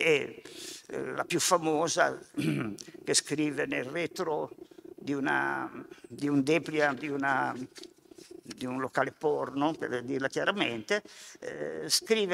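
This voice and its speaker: Speaking at a very slow pace, a man is heard over light background noise. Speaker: sociology professor. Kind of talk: lecture. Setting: stage with live audience. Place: hall. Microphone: podium.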